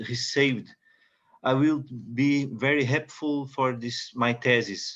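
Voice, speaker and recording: A man talks with a Portuguese accent at a medium pitch. His intonation stays fairly even. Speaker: doctoral student and music professor. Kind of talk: video call introduction. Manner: halting.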